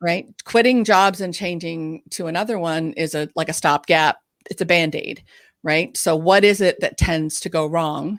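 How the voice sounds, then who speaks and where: A woman talks with ordinary pitch variation at a fairly low pitch. The recording is very clean, with a silent background. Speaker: ADHD coach and podcast co-host. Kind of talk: live Q&A chat. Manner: fast.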